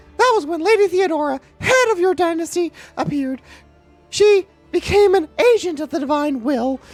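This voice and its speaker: An extremely high, squeaky put-on character voice speaks with long, frequent pauses while faint music plays in the background. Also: moderate pace. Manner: cartoonish.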